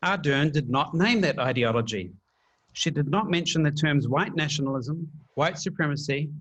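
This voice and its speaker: A man speaks at a moderate pace with a New Zealand accent over a quiet background. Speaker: PhD candidate, panelist. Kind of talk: prepared panel talk.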